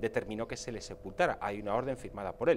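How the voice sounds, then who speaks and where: A man talking at a fairly quick pace with very wide pitch swings, over light background noise. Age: 40s. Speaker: political commentator. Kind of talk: TV panel debate. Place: studio. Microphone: lapel.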